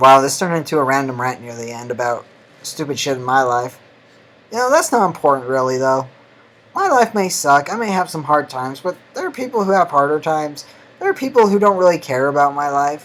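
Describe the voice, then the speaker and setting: The speaker talks at a fairly quick pace. Noticeable background noise runs underneath. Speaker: YouTuber. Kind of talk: casual vlog.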